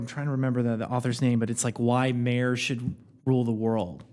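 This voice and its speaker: A man's dark, mellow tone, medium in pitch, at a very fast pace with a Midwestern American accent. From rural Indiana. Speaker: podcast guest. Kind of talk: casual chat.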